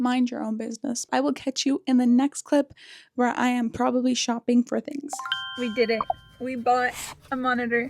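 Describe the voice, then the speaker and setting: A high-pitched woman at a moderate pace, fairly even in intonation, with music behind her and a dry, close sound with no echo. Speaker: lifestyle vlogger. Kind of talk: casual vlog narration. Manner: casual, chatty.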